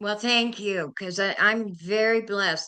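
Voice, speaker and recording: The tone of this woman's voice is bright and sharp. She keeps a moderate pace. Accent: American. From California. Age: 70s. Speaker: inspirational speaker. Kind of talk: interview.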